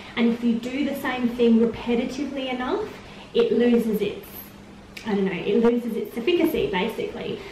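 A woman's voice at a fairly quick pace with ordinary pitch variation, light background noise and audible room echo. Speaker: vlogger. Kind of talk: casual vlog chat. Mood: calm, earnest. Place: empty room. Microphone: camera far.

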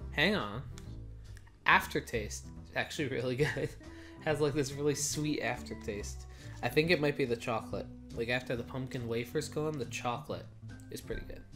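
A man at a moderate pace with long, frequent pauses, clear music in the background. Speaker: snack reviewer. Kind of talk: casual vlog chat. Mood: playful, chatty. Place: home room. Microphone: camera far.

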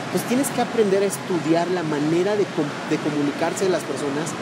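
Someone talks at a fairly quick pace over loud background noise. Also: man.

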